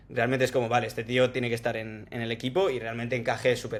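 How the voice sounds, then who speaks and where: This man's delivery is very fast. His medium-pitched voice stays monotone and flat. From Spain, Salamanca. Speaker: tech sales professional. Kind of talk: casual interview chat.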